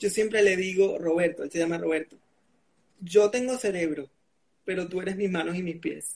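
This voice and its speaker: A man speaks at a high pitch and a moderate pace. His intonation stays fairly even. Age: 20s. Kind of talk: interview on a live video stream. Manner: articulate, clear.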